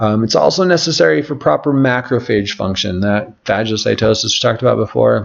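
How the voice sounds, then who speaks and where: A normal speaking voice: a man at a fairly low pitch, with ordinary pitch variation and a fairly quick pace. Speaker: natural health practitioner. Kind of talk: webinar lecture. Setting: live online webinar.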